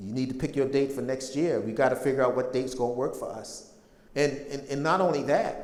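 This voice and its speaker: A man at medium pitch and a fairly quick pace, amid noticeable background noise and audible room echo. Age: 60s. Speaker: public speaker on slavery history. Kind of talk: lecture.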